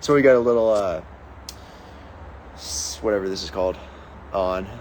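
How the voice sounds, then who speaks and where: A man speaks with an American accent at a fairly low pitch. His intonation is lively. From Pittsburgh, Pennsylvania, US. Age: 20s. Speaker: fitness coach and online creator. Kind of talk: casual livestream Q&A. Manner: upbeat, animated.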